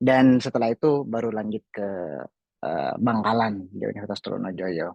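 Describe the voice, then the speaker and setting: A man speaks with a Madurese accent in a fairly low voice. The sound is dry and close, with no echo. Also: ordinary pitch variation, moderate pace. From Indonesia, Sumenep, Madura. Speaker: graduate student abroad. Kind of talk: personal story in online talk show.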